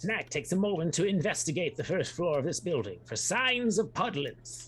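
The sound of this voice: A man speaks at a moderate pace with a fairly high pitch and a fairly bright tone. His pitch swings widely.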